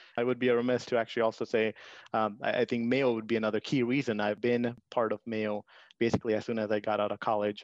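Over a quiet background, a man with an Indian accent speaks at a very fast pace in a medium pitch with monotone, flat intonation, and the sound is dry and close with no echo. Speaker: IT section head, immigrant.

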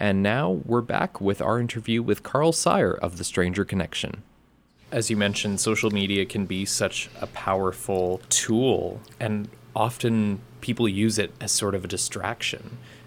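This is a plain, everyday voice at a moderate pace. Its pitch varies an ordinary amount. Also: man, fairly low pitch for a man. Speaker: radio co-host. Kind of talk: radio interview. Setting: studio.

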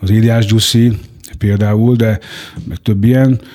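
A man at medium pitch. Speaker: former prisoner. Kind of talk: life story interview. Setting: studio. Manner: halting.

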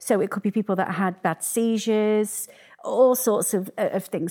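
With a dry, close sound and no echo, a woman talks at a moderate pace and a medium pitch. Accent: Yorkshire. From northern England, Sheffield. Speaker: arts business founder. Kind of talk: interview. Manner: halting.

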